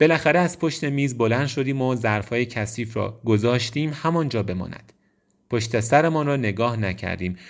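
This is a plain, everyday voice. The man talks at a moderate pace and a medium pitch. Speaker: audiobook narrator. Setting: studio.

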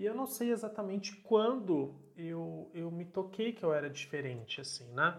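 Here a man speaks at a high pitch with lively intonation. His pace is moderate. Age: 30s. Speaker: podcaster. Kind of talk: solo monologue.

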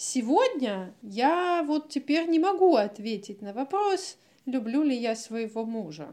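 Very slowly, a woman speaks in a high, dark, mellow voice with very wide pitch swings. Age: 30s. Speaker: psychologist, podcast co-host. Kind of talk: casual chat.

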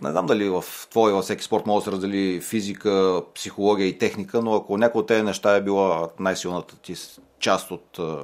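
This man has an ordinary speaking voice, fairly low in pitch, talking at a fairly quick pace with fairly even intonation on a very clean recording with a silent background. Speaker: sports podcast host. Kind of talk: interview. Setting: studio.

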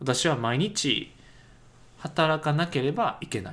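The voice carries vocal fry and very wide pitch swings. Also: man. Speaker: English teacher podcaster. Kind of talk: tutorial. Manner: hesitant with many fillers.

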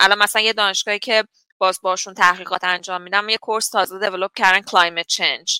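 A woman with a medium-pitched voice and bright, sharp tone talks at a very fast pace in a dry, close sound with no echo. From Iran, Ahvaz (Khuzestan). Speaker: water engineering professor. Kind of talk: interview.

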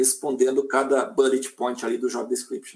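A man is speaking. He keeps a moderate pace. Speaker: head of digital engagement at an international agency. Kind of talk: live-stream interview.

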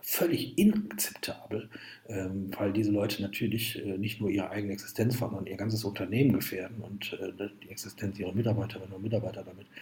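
A man talks at a fairly quick pace with fairly even intonation. His loudness swings a lot, and background noise is noticeable. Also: fairly low pitch for a man. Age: 50s. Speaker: entrepreneur and author. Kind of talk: interview.

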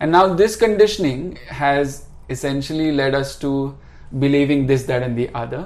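Fairly high-pitched male voice with ordinary pitch variation and audible room echo. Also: moderate pace. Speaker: restaurateur and spiritual seeker. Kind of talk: casual interview chat. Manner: calm.

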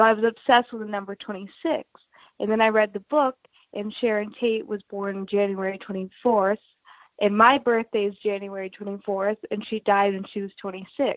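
A plain, everyday voice. It keeps fairly even intonation at a moderate pace. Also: woman, medium pitch for a woman. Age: 20s. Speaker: guitarist and songwriter. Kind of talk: casual interview.

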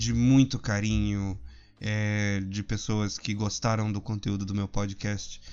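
A man speaking with ordinary pitch variation. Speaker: podcast host. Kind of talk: casual monologue. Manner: animated.

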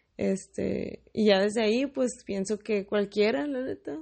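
Speaking at a fairly slow pace, a woman has a northern Mexican accent. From Mexicali, Baja California, northern Mexico. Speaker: podcaster. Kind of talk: casual monologue. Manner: casual, with many fillers.

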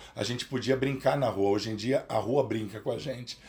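Speaking in a plain, everyday voice, a man has a medium pitch and ordinary pitch variation. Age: 50s. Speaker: psychoanalyst. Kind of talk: interview.

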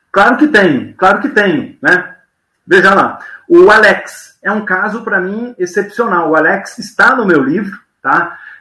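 Using a raised, projected voice, a man speaks at a high pitch with lively intonation. His pace is fairly slow. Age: 50s. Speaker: business mentor, former TV executive. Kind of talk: podcast interview. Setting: live video podcast.

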